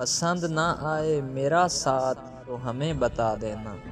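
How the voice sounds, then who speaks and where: Music plays in the background. A man speaks at medium pitch over it. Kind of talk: poetry reading.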